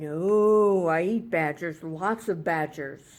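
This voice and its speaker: In a very clean recording with a silent background, a put-on character voice speaks at a middle pitch. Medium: read story. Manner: gloating, playful menace.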